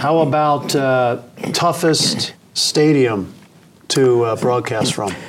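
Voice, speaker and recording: A man with an American accent speaks at a very slow pace and medium pitch, with ordinary pitch variation, over noticeable background noise. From Philadelphia area. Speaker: sports podcast host. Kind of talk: casual interview.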